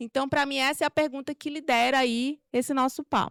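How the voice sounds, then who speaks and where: A woman's high voice at a moderate pace, with ordinary pitch variation and a dry, close sound free of echo. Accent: Maranhão. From Brazil, Maranhão. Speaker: corporate culture manager giving a talk. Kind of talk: talk at a meetup. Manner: informal, many fillers.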